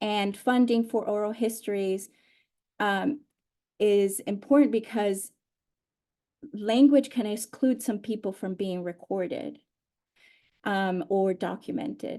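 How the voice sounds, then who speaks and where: A woman with a Spanish accent speaks very slowly in a dark, mellow tone, with ordinary pitch variation and long, frequent pauses. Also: fairly high pitch for a woman. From Honduras and Mexico. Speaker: oral historian. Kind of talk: panel conversation. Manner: halting, many fillers.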